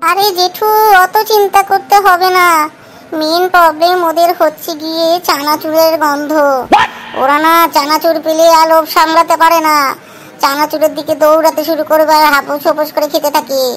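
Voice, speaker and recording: A cartoonish character voice speaks in a high pitch at a moderate pace. Background noise is clearly audible. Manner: lively, chatty.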